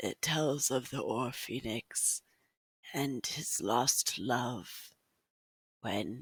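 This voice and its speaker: In a put-on character voice with low-to-middle pitch, the speaker goes at a very slow pace with long, frequent pauses. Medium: actual play. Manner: casual, friendly.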